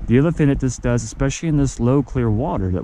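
The man's voice shows ordinary pitch variation, with a dry sound with no echo and light background noise. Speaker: fly fishing instructor. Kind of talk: tutorial. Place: waterside. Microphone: phone near.

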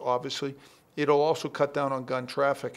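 A man is speaking. His pitch sits fairly high for a man. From Boston area, Massachusetts. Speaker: political candidate; candidate. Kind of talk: TV interview. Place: shop. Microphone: handheld.

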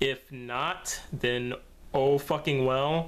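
A man speaks with fairly even intonation. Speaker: gaming channel vlogger. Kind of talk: casual vlog chat. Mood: low, somewhat downbeat. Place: home room. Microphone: webcam.

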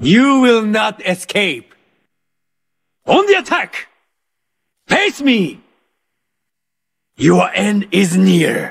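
Doing a put-on character voice, a man speaks high for a man at a very slow pace, with big pitch swings, long and frequent pauses, a fairly bright tone, vocal fry and a slightly husky edge.

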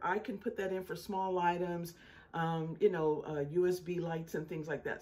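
Here a woman is speaking. Her tone is dark and mellow. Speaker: home solar power vlogger. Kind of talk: casual vlog chat. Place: home room. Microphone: phone near.

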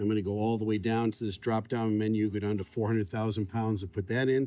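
A man speaks at a fairly quick pace in a dark, mellow tone, with a dry sound and no echo. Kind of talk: tutorial. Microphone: phone near.

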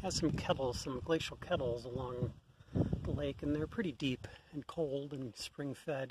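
There is ordinary pitch variation as a man speaks in a somewhat breathy voice, with a dry sound and no echo. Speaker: outdoor vlogger. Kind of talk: casual vlog chat. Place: boat. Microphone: phone near.

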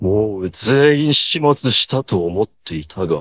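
A man puts on a cartoonish character voice, speaking slowly at a fairly low pitch with lively intonation and a fairly bright tone.

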